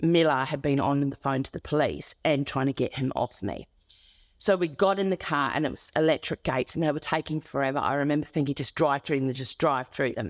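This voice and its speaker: Against a quiet background and in a dry, close sound with no echo, a woman with an Australian accent speaks fairly quickly at a very deep, low pitch with ordinary pitch variation. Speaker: domestic abuse survivor and advocate. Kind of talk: interview testimony.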